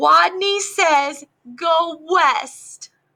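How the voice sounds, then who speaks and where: This woman uses a put-on character voice. It is squeaky and pitched extremely high. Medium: read story. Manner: timid, lisping.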